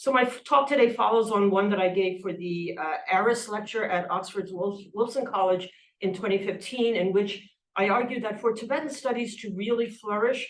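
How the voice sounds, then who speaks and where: The woman talks at a medium pitch with ordinary pitch variation. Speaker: professor. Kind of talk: lecture. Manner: fast.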